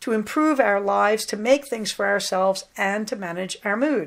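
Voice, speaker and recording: A woman speaks at a moderate pace with a fairly high pitch, ordinary pitch variation and an unremarkable speaking voice. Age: 60s. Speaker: podcast host, psychologist. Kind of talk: casual monologue. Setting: at home, sitting on bed.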